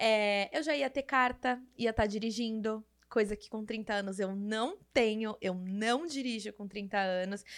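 Animated in tone, a woman with a fairly high pitch and ordinary pitch variation talks at a fairly slow pace with hardly any pauses and big swings in loudness, on a very clean recording with a silent background. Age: 30s. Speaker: podcast host. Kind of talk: casual solo monologue.

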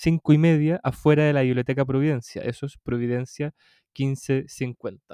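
A man with a Chilean accent speaks at a fairly high pitch in a dark, mellow tone. The sound is dry and close, with no echo. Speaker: podcast co-host. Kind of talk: casual chat.

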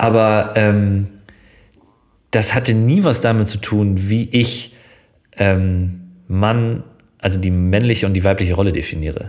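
Using fairly even intonation, a man speaks with a fairly low pitch at a fairly slow pace, leaving long, frequent pauses. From northern Germany, Schleswig-Holstein near Hamburg. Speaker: TV presenter. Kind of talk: casual chat. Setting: in a living room.

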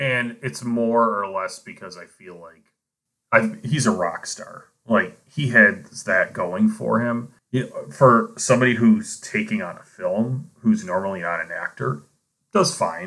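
A man with an American accent, a fairly slow pace and big swings in loudness. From US, Buffalo area (western New York). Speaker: podcast co-host, teacher. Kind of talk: casual chat.

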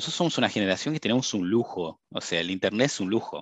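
Lively intonation comes at a fairly quick pace in a dry, close sound with no echo over a quiet background. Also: man. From Brazil. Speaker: cybersecurity professional. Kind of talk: interview.

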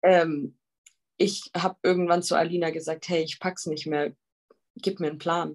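A woman with a fairly low pitch at a moderate pace, fairly even intonation, and long, frequent pauses. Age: 20s. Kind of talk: casual interview.

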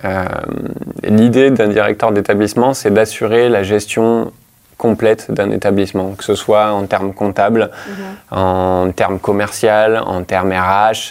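A man speaks at a very slow pace and a fairly low pitch. His intonation is monotone and flat. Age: 30s. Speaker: hotel manager. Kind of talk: interview.

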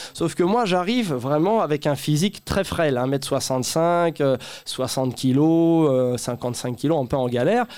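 A man speaks at a very slow pace in a fairly high pitch, with lively intonation and very even loudness. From Paris suburbs (Saint-Denis). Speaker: comedian. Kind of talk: casual chat. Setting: stage with audience.

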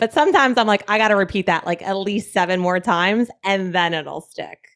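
An American accent at a fairly quick pace. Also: woman. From New Jersey. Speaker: podcast host. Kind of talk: casual chat.

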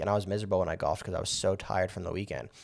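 A man with an American accent, fairly low-pitched and very fast. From Las Vegas, US. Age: 20s. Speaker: real estate agent. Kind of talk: casual interview.

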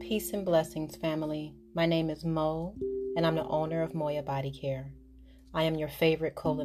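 The voice has a calm, soothing tone, with music in the background. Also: woman. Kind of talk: guided hypnosis relaxation induction. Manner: slow, calm, soothing, hypnotic and repetitive.

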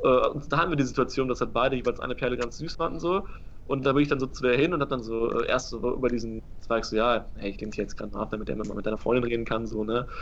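A man speaks very fast at medium pitch. Vocal fry runs through his voice. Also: ordinary pitch variation. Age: 20s. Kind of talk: casual chat.

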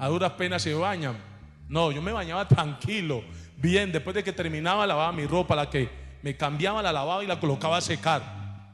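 Over noticeable background noise, a man with a fairly high voice talks at a fairly quick pace with lively intonation. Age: 40s. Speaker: pastor. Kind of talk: sermon. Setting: church.

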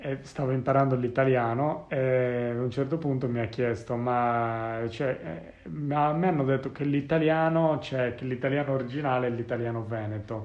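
A man talks at a medium pitch with ordinary pitch variation. Noticeable background noise can be heard. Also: moderate pace. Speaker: podcast host. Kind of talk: casual chat.

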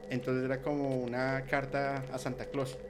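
A man's voice over noticeable background noise. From Colombia. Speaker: paranormal content creator. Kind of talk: casual chat.

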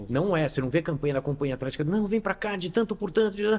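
A man's dark, mellow voice with lively intonation. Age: 50s. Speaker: gym chain founder and CEO. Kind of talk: interview. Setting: gym.

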